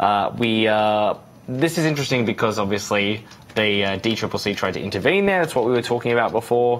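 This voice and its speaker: A man with an Australian accent, medium in pitch, at a fairly quick pace, with ordinary pitch variation and very even loudness. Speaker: news livestream host. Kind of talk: live election night panel discussion.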